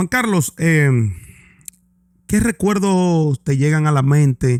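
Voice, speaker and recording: With a dry, close sound and no echo, a man speaks very slowly, his intonation lively. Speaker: podcast host. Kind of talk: interview.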